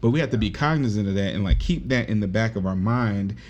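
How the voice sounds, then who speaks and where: A man talks in a fairly low voice with ordinary pitch variation. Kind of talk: casual conversation. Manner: soft-spoken.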